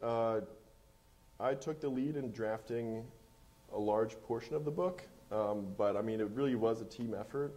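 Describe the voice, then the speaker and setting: A man's dark, mellow voice at a moderate pace, with ordinary pitch variation and long, frequent pauses. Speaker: gene editing researcher; guest. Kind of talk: panel discussion. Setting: stage with audience. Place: stage.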